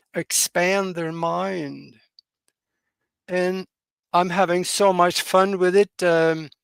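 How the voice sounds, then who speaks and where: In a Norwegian accent, the speaker goes very slowly with monotone, flat intonation, recorded dry and close with no echo. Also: man, long, frequent pauses. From Norway. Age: 80s+. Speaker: pilot and UFO researcher. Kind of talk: interview. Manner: halting, frequent fillers.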